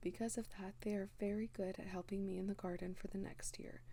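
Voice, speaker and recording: Soft-spoken delivery moves along at a moderate pace. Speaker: home gardener. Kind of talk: soft-spoken ASMR talk. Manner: lighthearted.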